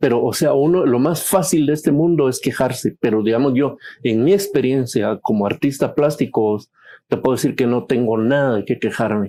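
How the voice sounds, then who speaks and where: A man's dark, mellow voice at a medium pitch, with a Guatemalan accent, at a moderate pace and very even loudness, over a quiet background. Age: 60s. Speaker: painter. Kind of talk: casual chat.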